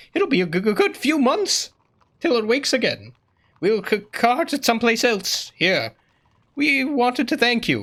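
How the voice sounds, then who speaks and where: Put-on character voice from a man, extremely high in pitch, at a moderate pace. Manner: stuttering, nervous, grateful.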